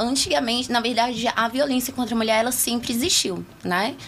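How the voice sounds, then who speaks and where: A fairly high-pitched woman at a moderate pace, with noticeable background noise. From Taguatinga, Federal District, Brazil. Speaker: political candidate. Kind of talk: interview. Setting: radio studio.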